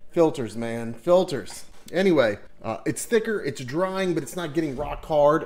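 His intonation is lively, and the man keeps a moderate pace. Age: 40s. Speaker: product reviewer. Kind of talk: casual talk to camera. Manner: jokey, casual. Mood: relaxed, amused. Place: home room. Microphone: webcam.

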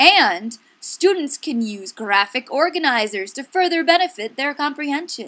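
A woman with a high pitch and a bright, sharp tone speaks in a raised, projected voice, upbeat and playful, with very wide pitch swings. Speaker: education video presenter. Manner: upbeat, gushing, salesy, with playful exaggerated enthusiasm and rhetorical questions.

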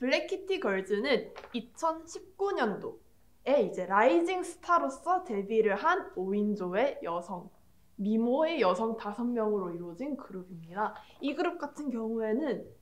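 Her pace is fairly slow. The woman's pitch swings very widely. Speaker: presenter. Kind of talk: class presentation with personal anecdote. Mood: excited, fangirling, emotional. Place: classroom. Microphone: camera far.

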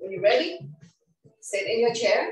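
The speaker is a woman. Noticeable background noise and audible room echo surround her voice. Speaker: fitness instructor. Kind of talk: guided workout instruction. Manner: calm, unhurried. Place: home room. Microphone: video call.

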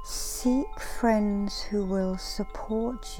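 Music in the background behind a woman speaking at a very slow pace. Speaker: reiki master and meditation guide. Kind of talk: inspirational affirmations. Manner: soft, murmured.

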